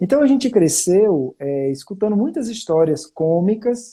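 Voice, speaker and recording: A man in a strong northeastern Brazilian accent, high-pitched with very wide pitch swings, dark and mellow in tone, at a moderate pace. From Brazil, Fortaleza (Northeast). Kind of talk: testimony. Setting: online live stream. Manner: conversational with frequent fillers.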